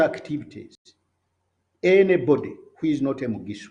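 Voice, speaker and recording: A dark, mellow tone carries this voice with a Ugandan accent. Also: man. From Uganda, Buganda (near Kisubi). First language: Luganda. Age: 70s. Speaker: political commentator. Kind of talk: political speech. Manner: halting, with repetitions.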